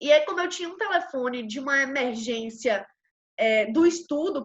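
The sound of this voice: In a Brazilian accent, a woman speaks with lively intonation. Her pitch is high.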